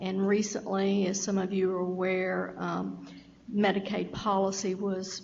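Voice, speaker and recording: A woman with a Southern US accent talks at a fairly slow pace and medium pitch, with audible room echo and noticeable background noise. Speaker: state health program official. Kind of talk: meeting presentation.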